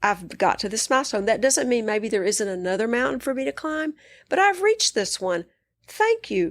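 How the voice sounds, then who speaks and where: In a West Texas accent, a woman talks at a moderate pace with a fairly high pitch and lively intonation. The recording is very clean, with a silent background. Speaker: psychiatrist and coach. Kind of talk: interview conversation.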